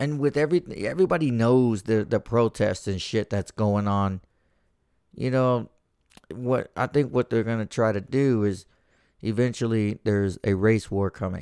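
In a very clean recording with a silent background and a dry, close sound with no echo, a man speaks at a moderate pace with a medium pitch, ordinary pitch variation and a dark, mellow tone. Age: 30s. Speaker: podcast host. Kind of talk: casual monologue. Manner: casual, profane and rambling.

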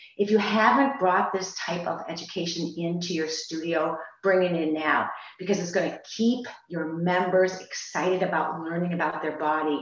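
Noticeable background noise sits behind a woman speaking at a moderate pace. Her pitch is fairly low, with ordinary pitch variation. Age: 60s. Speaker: fitness franchise owner. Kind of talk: webinar panel discussion. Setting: video call.

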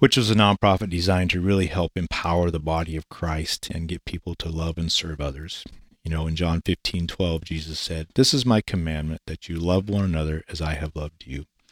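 With a very deep, low pitch, a man talks at a fairly quick pace with ordinary pitch variation, in a dry, close sound with no echo and a very clean recording with a silent background. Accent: Pacific Northwest. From Eastern Washington, US. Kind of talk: interview.

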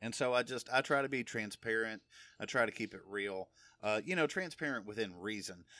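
A bright, sharp tone moves at a fairly quick pace in a very clean recording with a silent background. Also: man. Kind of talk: solo religious podcast teaching. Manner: casual, conversational with fillers. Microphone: new recording equipment.

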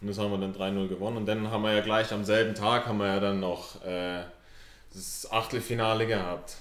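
Fairly quick speech with monotone, flat intonation comes through audible room echo and noticeable background noise. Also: man, fairly low pitch for a man. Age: 20s. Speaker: amateur footballer. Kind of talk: casual chat.

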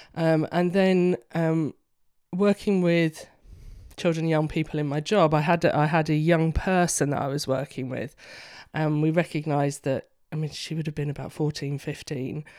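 A woman with a London accent and a very deep, low pitch speaks at a moderate pace with fairly even intonation and a dark, mellow tone, in a very clean recording with a silent background. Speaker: counsellor. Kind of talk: casual interview.

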